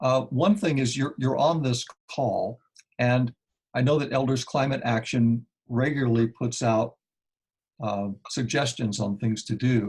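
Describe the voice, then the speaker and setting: A man with an American accent speaks at a medium pitch, somewhat breathy, with ordinary pitch variation. His pace is fairly slow, with long, frequent pauses. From Kansas, US Midwest. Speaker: climate activist. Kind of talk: Q&A on a conference call. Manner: halting, many fillers.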